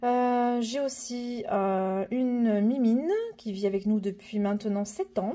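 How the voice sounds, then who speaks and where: Speaking at a very slow pace, a woman has a fairly high, somewhat breathy voice. Her tone is dark and mellow. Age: 30s. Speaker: personal finance vlogger. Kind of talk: casual vlog. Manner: hesitant, many fillers (euh).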